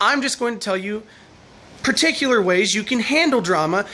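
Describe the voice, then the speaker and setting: A very fast pace over noticeable background noise. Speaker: vlogger. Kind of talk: advice vlog monologue. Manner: loud.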